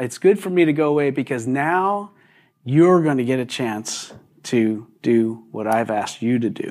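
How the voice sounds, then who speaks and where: Lively intonation from a man at a fairly slow pace, on a very clean recording with a silent background. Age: 60s. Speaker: pastor. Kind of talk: sermon. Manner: halting, many repetitions and fillers.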